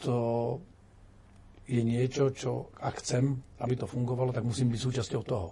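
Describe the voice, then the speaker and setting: Pausing long and often, a man speaks at a medium pitch in a somewhat breathy, monotone, flat way. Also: moderate pace. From Slovakia. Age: 50s. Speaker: retired general turned politician. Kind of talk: interview.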